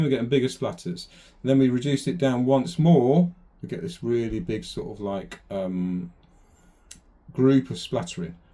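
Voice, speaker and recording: A man mumbling with a Lancashire accent, medium pitch, very wide pitch swings and a dark, mellow tone. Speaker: airbrush artist. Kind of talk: tutorial. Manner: casual, hesitant.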